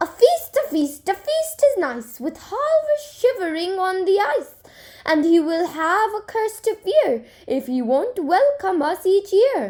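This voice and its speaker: Using a put-on character voice, a woman sounds whiny at an extremely high pitch, with very wide pitch swings and a fairly slow pace. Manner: toasting, gleeful.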